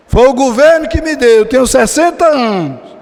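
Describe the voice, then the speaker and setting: An extremely high-pitched man at a fairly slow pace, animated in tone, with ordinary pitch variation and noticeable background noise. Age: 60s. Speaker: pastor. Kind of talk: sermon. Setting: church.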